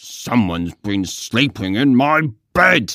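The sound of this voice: A man's growling, put-on character voice at medium pitch and a fairly slow pace.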